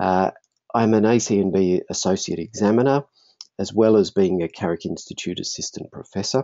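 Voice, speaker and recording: A man speaks with an Australian accent at a fairly quick pace. His pitch varies in an ordinary way. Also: fairly low pitch for a man. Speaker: functional neurologist and marketing presenter. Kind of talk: webinar presentation. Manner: fast.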